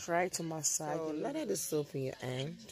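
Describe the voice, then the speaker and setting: Very deep, low woman's voice with music in the background. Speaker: soap maker and seller. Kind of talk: tutorial. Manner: halting.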